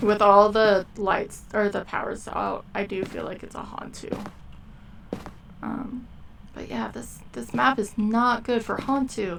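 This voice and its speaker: A woman speaks at a very slow pace. Noticeable background noise runs behind her. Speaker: gaming streamer. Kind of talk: live gameplay commentary. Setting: live stream. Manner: casual, trailing off mid-sentence.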